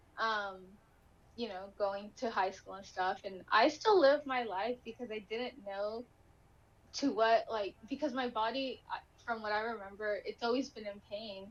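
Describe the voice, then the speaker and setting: Talking at a fairly slow pace with a Spanish accent, a woman with a fairly high pitch shows ordinary pitch variation and big swings in loudness. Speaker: inspirational speaker with chronic illness. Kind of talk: interview testimony.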